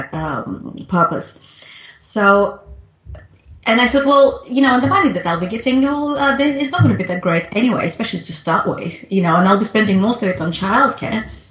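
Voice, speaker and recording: Noticeable background noise runs under the clip. A woman speaks with lively intonation. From Russia, Moscow. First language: Russian. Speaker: international business consultant. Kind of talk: interview. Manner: halting, many fillers.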